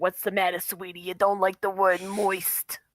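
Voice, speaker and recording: A woman does a put-on character voice at medium pitch. She keeps a moderate pace with monotone, flat intonation. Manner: mocking, teasing.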